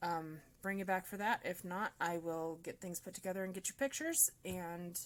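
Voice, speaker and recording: A woman with an American accent and an ordinary speaking voice talks at a medium pitch and moderate pace, with ordinary pitch variation. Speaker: crafter. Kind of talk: tutorial. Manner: casual.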